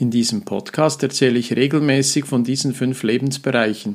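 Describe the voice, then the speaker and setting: A man at a medium pitch and moderate pace, a plain, everyday voice with fairly even intonation. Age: 50s. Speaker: mental trainer and coach, podcast host. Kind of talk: solo podcast monologue. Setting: studio with professional microphone. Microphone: professional microphone.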